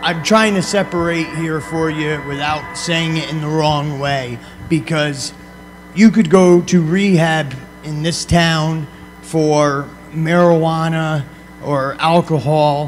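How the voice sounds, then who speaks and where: Very slow American-accented speech with ordinary pitch variation over background music, in an American accent. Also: man, fairly high pitch for a man. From upstate New York. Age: 30s. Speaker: motivational speaker on addiction recovery. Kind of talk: talk to students. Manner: conversational.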